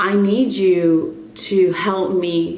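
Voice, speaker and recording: A woman speaks over noticeable background noise. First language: Spanish. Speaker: wellness and fitness coach vlogger. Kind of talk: casual vlog monologue.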